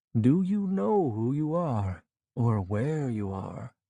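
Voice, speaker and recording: A man's gravelly, put-on character voice at medium pitch, delivered very slowly. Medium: read story. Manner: grandfatherly, measured.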